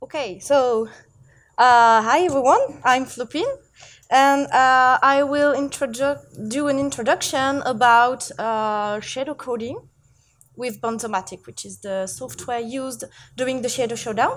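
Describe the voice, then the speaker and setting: On a very clean recording with a silent background, a woman with a high pitch and a French accent talks at a fairly slow pace, with ordinary pitch variation and big swings in loudness. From France. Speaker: seminar presenter, shader coder. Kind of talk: live technical lecture. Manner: halting, many fillers.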